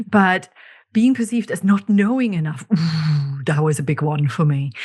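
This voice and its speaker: In a German accent, a woman with a fairly low pitch and a somewhat breathy voice speaks at a moderate pace with lively intonation against a quiet background. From Germany. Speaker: podcast host, leadership coach. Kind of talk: podcast solo monologue.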